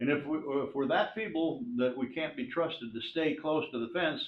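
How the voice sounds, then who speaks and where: A man's voice with audible room echo. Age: 70s. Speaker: resident speaking at public comment. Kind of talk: public comment at council meeting. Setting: town council meeting. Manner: halting, many fillers.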